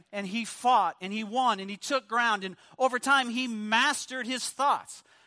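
A man's voice sits at an extremely high pitch, raised and projected. The tone is bright and sharp. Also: very clean recording, silent background. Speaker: guest preacher. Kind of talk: sermon. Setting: church. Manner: loud.

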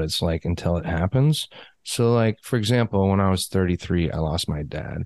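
A man speaks with an American accent in a normal speaking voice, fairly low in pitch, with lively intonation at a moderate pace. The sound is dry and close with no echo, and the background is quiet. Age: 30s. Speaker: podcast host. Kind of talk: casual interview chat. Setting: remote call.

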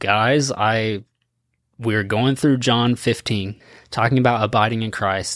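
On a very clean recording with a silent background, a man with an ordinary speaking voice talks fairly slowly at a medium pitch with fairly even intonation. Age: 30s. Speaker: student ministry pastor. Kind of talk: casual chat. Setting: studio.

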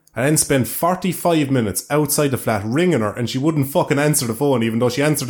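Speaking with an Irish accent, a man races along at a very fast pace with hardly any pauses and very even loudness. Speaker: podcast host, YouTuber. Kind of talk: casual chat podcast.

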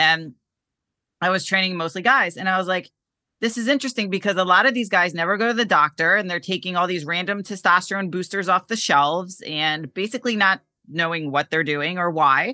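In a very clean recording with a silent background, a normal speaking voice with an American accent uses ordinary pitch variation. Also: woman, medium pitch for a woman, fairly quick pace, dry, close sound with no echo. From Connecticut, US. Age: 40s. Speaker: men's health coach. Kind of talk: casual interview.

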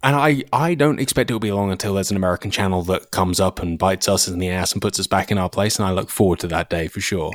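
A man with an English accent and a very deep, low pitch talks at a very fast pace with hardly any pauses and ordinary pitch variation. The recording is very clean, with a silent background and a dry, close sound with no echo. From England. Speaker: shooting YouTuber, former gunsmith. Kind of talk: casual chat.

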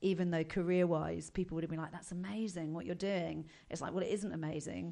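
A woman's fairly low, monotone, flat voice at a very fast pace, in a southern English accent. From southern England, Buckinghamshire. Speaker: comedian. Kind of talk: casual chat.

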